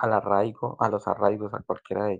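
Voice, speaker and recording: Against a quiet background, a man talks at a fairly slow pace in a fairly low voice. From Colombia. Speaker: migrant asking questions. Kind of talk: casual group voice chat.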